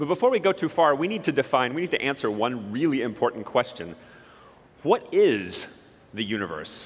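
Speaking at a moderate pace with a Western US accent, a man uses a fairly high pitch, vocal fry and very wide pitch swings. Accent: American (Western US). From southern Utah, US. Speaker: particle physicist giving a talk. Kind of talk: public talk to an audience.

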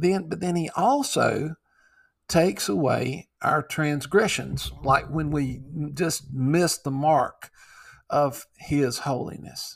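A man's fairly high, somewhat breathy voice at a very slow pace, with ordinary pitch variation, in a very clean recording with a silent background. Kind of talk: Bible teaching with closing prayer, sermon-like; fervent prayer addressed to God. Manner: earnest, reverent, pleading, devout; halting, with frequent fillers and restarts.

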